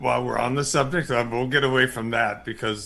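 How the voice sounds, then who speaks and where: Here a man of medium pitch talks at a moderate pace. His tone is bright and sharp, with vocal fry. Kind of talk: casual chat.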